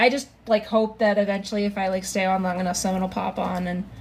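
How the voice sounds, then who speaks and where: A woman at medium pitch, fairly quick and with fairly even intonation, over noticeable background noise. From Germany. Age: 30s. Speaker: live streamer. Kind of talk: casual chat. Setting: live stream.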